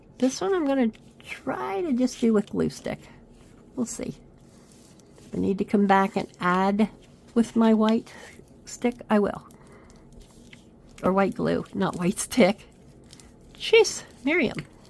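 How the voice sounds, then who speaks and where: A woman speaks in a fairly high pitch with lively intonation. Her pace is fairly slow, with long, frequent pauses. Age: 50s. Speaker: craft video creator. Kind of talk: crafting tutorial. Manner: casual, chatty.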